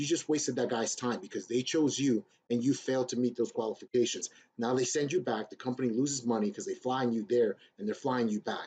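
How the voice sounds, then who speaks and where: A man speaks in a dark, mellow tone. His pace is fairly quick. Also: medium pitch for a man, ordinary pitch variation. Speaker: YouTuber giving career advice to veterans. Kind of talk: screen-share tutorial. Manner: fast; casual, blunt.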